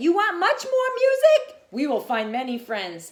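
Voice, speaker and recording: The voice is a put-on character. Its pace sits at a moderate level. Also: woman, extremely high pitch for a woman. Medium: read story. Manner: cheerful, eager.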